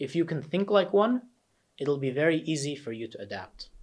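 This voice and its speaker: An American accent marks this man's unremarkable speaking voice, pitched fairly high. He uses lively intonation. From New Jersey, USA (about nine years of childhood). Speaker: test prep coach. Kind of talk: course introduction lesson.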